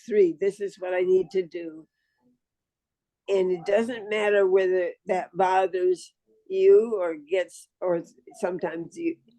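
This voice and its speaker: A woman's dark, mellow voice at medium pitch, with ordinary pitch variation, in a dry, close sound with no echo. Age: 90s. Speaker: author, elder. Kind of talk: casual interview.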